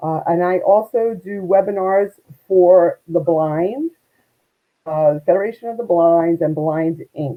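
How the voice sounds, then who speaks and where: A woman speaks with a Brooklyn accent. Her pace is fairly slow and her pitch varies in an ordinary way. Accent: Brooklyn, New York. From US Northeast, Brooklyn, New York. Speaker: networking expert and volunteer. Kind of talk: interview. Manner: animated.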